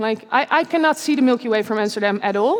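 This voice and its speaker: A woman speaks at a very fast pace. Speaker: scientist and science speaker. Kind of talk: conference talk. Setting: stage with audience in a church. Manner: casual, some stumbling.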